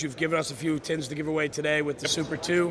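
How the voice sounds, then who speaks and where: A man's fairly high, monotone, flat voice at a very fast pace over noticeable background noise. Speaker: podcast host. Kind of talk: live stream interview. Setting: trade show booth. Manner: loud.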